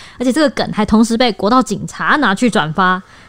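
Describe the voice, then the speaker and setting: The speech moves at a very fast pace. Its pitch variation is ordinary. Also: woman. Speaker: podcast co-host, news reporter. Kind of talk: casual discussion.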